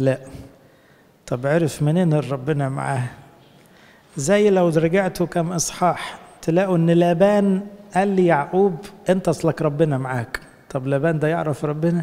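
With an Egyptian accent and ordinary pitch variation, the speaker keeps a moderate pace with long, frequent pauses. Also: man, high pitch for a man. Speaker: priest. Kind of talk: sermon. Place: church. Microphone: handheld.

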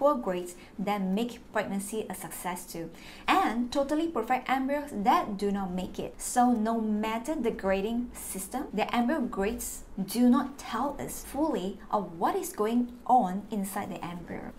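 At a fairly slow pace, a woman speaks with lively intonation over light background noise. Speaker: fertility vlogger sharing experience. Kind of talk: informative vlog talk. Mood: warm, encouraging. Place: home room.

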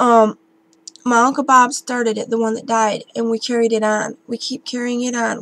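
The intonation is monotone and flat, and the sound is dry with no echo. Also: woman. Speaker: vlogger. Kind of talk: casual vlog chat. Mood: warm, chatty. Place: home room. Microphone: webcam.

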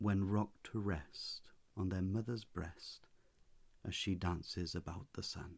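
A soft-spoken man with a gentle tone talks at a fairly slow pace in a very deep, low voice, his intonation fairly even. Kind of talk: poetry reading. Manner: soft-spoken, gentle.

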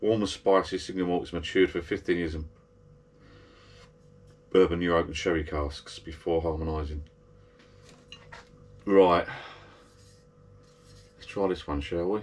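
With a very deep, low voice and fairly even intonation, a man speaks at a moderate pace, leaving long, frequent pauses. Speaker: whisky tasting vlogger. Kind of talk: casual vlog chat. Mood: relaxed, pleased. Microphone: camera far.

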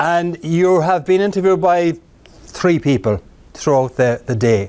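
Speaking with an Irish accent at a moderate pace, a man uses very wide pitch swings. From Ireland. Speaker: keynote speaker. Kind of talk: live presentation to a job club. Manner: humorous. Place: meeting room.

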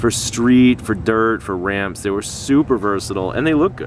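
A man speaks at a moderate pace. The sound is dry with no echo, with noticeable background noise. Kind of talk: casual show-and-tell commentary. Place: street. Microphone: phone near.

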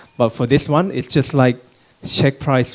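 Speech comes at a fairly slow pace in a Thai accent. Pitch variation is ordinary. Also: man. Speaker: logistics startup CEO. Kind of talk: panel talk with slides. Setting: conference room with audience. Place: hall. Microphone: handheld.

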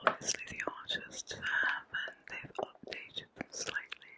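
A fairly slow whisper. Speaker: comic collector. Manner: soft ASMR bedtime voice, chewing gum.

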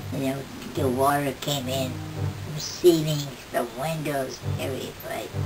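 A woman with a very deep, low pitch speaks against noticeable background noise. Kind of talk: interview answer. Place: home room. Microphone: camera far.

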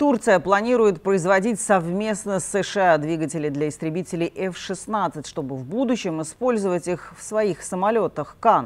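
A woman at a fairly slow pace, with hardly any pauses. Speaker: news anchor. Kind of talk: news reading. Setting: studio. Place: studio.

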